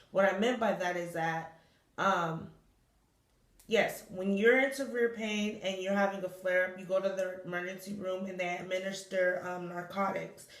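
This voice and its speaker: In a room with audible echo, a woman speaks at a moderate pace and medium pitch with fairly even intonation. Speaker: vlogger with chronic illness. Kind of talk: personal vlog monologue. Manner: halting, self-correcting.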